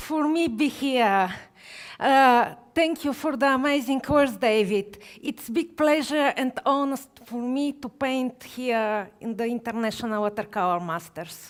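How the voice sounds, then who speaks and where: Someone with a Bulgarian accent speaks at a fairly slow pace with ordinary pitch variation in a very clean recording with a silent background. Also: woman, high pitch for a woman. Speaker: watercolor artist. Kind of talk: live painting demonstration. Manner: halting.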